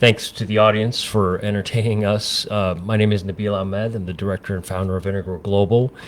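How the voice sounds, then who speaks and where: With hardly any pauses, a man talks at a fairly quick pace in a fairly low, monotone, flat voice. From United States, California. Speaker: public health organization founder. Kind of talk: radio interview. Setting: studio. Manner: hesitant, many fillers.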